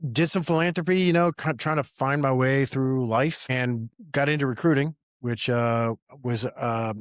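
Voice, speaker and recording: With an American accent, a man talks in an ordinary speaking voice at a medium pitch and moderate pace. His pitch variation is ordinary, and the sound is dry and close with no echo. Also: very even loudness. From Appalachian Virginia, US. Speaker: entrepreneur and army veteran. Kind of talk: casual podcast conversation.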